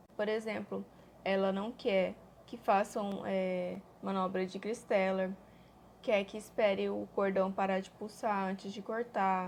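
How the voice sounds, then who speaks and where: A woman speaks in a monotone, flat way at medium pitch. She goes at a fairly slow pace in a very clean recording with a silent background. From Brazil, Cuiabá, Mato Grosso. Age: 20s. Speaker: mother vlogger. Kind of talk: personal testimony vlog.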